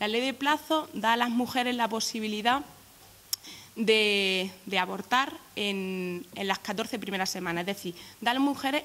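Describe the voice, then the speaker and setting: A fairly slow pace with ordinary pitch variation. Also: woman. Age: 20s. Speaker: youth political activist. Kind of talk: press conference statement. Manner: halting, many repetitions.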